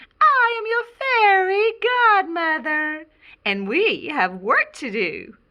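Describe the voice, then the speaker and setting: Squeaky and extremely high, a woman's put-on character voice creeps along at a very slow pace. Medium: read story.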